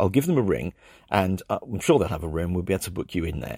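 A man with a very deep, low pitch speaks with lively intonation and vocal fry. The recording is very clean, with a silent background. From England. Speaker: travel podcaster, former scientist. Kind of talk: scripted narration.

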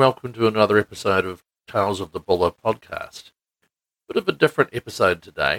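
Speaking at a fairly quick pace with ordinary pitch variation, the voice has a New Zealand accent and a dry, close sound with no echo. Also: man, medium pitch for a man. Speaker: podcast host. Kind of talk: casual chat. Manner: hesitant, many fillers.

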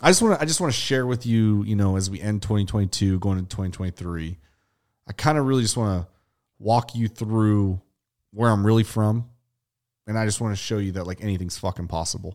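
A man with an American accent speaks at a very fast pace in an animated tone, with a fairly low pitch and ordinary pitch variation. The recording is very clean, with a silent background. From western Pennsylvania, Avella near Pittsburgh. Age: 30s. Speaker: podcast host and clothing brand owner. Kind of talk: casual chat. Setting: studio.

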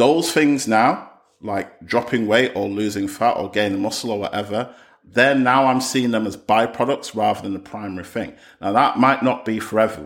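This man, who has an ordinary speaking voice, talks at a moderate pace with medium pitch and ordinary pitch variation, captured on a very clean recording with a silent background. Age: 30s. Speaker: podcast host. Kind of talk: solo podcast monologue.

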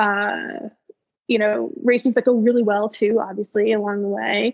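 In an unremarkable speaking voice, a woman with an American accent talks at a moderate pace in a fairly high pitch, with ordinary pitch variation. The sound is dry and close, with no echo. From Maryland, US. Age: 30s. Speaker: running coach and elite marathoner. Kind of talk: casual interview.

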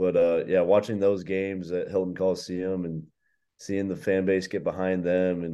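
With an American accent, a man talks at a moderate pace in a very deep, low pitch with a dark, mellow tone, over a quiet background. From US Midwest (Iowa, Chicago suburbs, Nebraska). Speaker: college basketball player. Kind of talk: interview.

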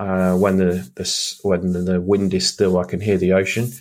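A man with a British accent speaks in a fairly low, monotone, flat voice at a fairly slow pace on a very clean recording with a silent background. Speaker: podcast host and business coach. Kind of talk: solo podcast monologue. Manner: casual, many fillers.

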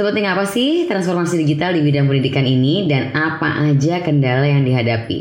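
A fairly quick delivery amid noticeable background noise and audible room echo. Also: woman. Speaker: podcast host. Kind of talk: scripted narration.

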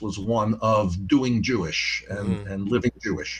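Someone speaks with a New York accent against a quiet background. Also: man. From New York (Yonkers). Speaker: former university president. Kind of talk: interview.

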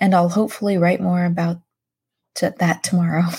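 Her voice has a dark, mellow tone at medium pitch and is somewhat breathy. The woman is heard in a very clean recording against a silent background. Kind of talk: devotional podcast reading her old journal aloud, with a closing blessing; fervent prayer read aloud from her journal. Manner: earnest, heartfelt, pleading.

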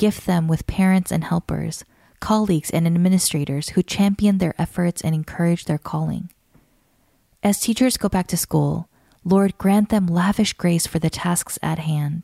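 Fairly low and somewhat breathy, a woman's dark, mellow, warm tone moves at a moderate pace with fairly even intonation, the sound dry and close with no echo on a very clean recording with a silent background. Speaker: podcast narrator. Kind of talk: scripted narration of a written prayer, read aloud as fervent intercession. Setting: studio. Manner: earnest, warm, measured cadence with rising supplication; steady, devotional, softly emphatic on lists of blessings.

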